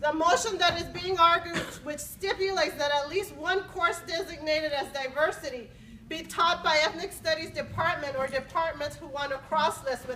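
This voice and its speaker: Using a raised, projected voice, a woman speaks at a moderate pace in a high pitch with ordinary pitch variation. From Los Angeles (moved from Mexico at seven). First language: Spanish. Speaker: university faculty member. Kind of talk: formal speech at academic senate meeting.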